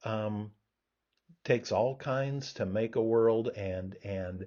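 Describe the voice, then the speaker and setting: Here a man speaks at a medium pitch with fairly even intonation. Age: 60s. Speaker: professor. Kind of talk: lecture. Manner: halting, many fillers and repeats.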